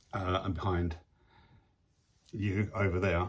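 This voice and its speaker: Speaking with an English accent, a man sounds somewhat breathy at a moderate pace. His intonation is monotone and flat, and the recording is very clean with a silent background. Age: 60s. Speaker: photographer and video vlogger. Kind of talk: casual video diary. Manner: hesitant, many fillers.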